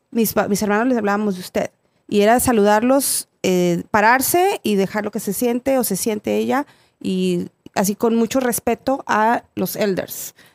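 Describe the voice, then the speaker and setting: A woman with a Mexican accent speaks at a fairly slow pace and a fairly high pitch, with ordinary pitch variation. The sound is dry and close with no echo, on a very clean recording with a silent background. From Mexico. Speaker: podcast guest. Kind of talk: casual chat.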